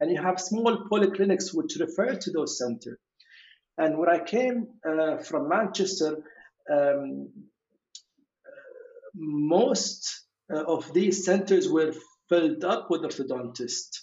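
With a Kuwaiti accent, a man talks at a fairly slow pace and high pitch, using lively intonation and long, frequent pauses. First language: Arabic. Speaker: orthodontist. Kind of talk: interview conversation. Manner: hesitant, many fillers.

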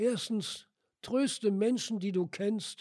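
A man's dark, mellow tone at a very slow pace. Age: 80s+. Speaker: church member giving devotional. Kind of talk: devotional talk. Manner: formal.

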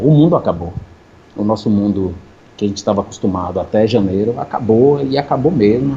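Somewhat breathy and fairly low-pitched, a man speaks at a fairly quick pace in a dark, mellow tone with lively intonation. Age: 40s. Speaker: filter creator and music producer. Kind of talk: casual chat.

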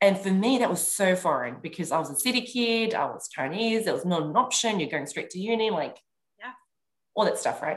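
Lively in intonation and fairly quick, a woman speaks at medium pitch in an ordinary speaking voice. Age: 30s. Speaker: clubhouse strategist and leadership coach. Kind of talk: casual chat.

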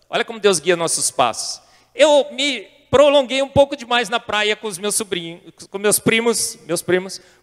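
In a Brazilian accent, a man speaks at an extremely high pitch and a moderate pace, with ordinary pitch variation and a dry, close sound with no echo. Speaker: scientist and intelligent design advocate. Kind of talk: testimony talk to a church youth audience.

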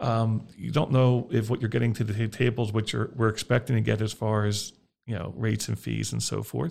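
A man's fairly low voice with vocal fry, ordinary pitch variation and a fairly quick pace. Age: 50s. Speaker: mortgage lender. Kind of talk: casual chat. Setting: studio. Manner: halting, repeats words.

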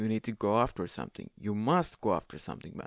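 With lively intonation, a man with a non-native accent speaks over a quiet background. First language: not English. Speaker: podcast host. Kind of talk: monologue advice podcast. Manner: halting; casual.

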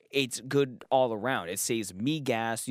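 On a very clean recording with a silent background and a dry, close sound with no echo, a man speaks in an animated tone with ordinary pitch variation. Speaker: podcast host. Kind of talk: casual chat.

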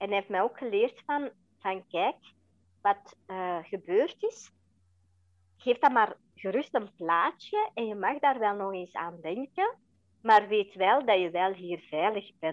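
A woman talks at a very slow pace with a medium pitch. Her intonation is lively. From Belgium (Flanders), adopted from India at age four. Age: 40s. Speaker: interview guest, adoptee and mother. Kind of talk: personal testimony in interview. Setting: podcast interview.

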